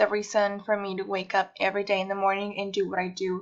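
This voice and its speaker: A woman talks at a medium pitch with a Mexican accent. The background is quiet. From Mexico, Guadalajara. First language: Spanish. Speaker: university student. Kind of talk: personal presentation.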